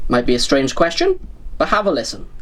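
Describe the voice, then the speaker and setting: Over noticeable background noise, a man with a Welsh accent talks at a fairly quick pace, his pitch swinging very widely. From Wales. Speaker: model railway YouTuber. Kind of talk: casual video review. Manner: conversational, addressing viewers.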